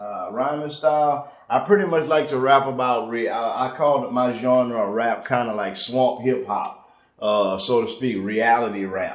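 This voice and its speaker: A man talks at a moderate pace with a Southern accent, his pitch medium and its variation ordinary. Noticeable background noise sits behind him. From Louisiana, Lake Charles. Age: 30s. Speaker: rapper. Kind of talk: casual interview.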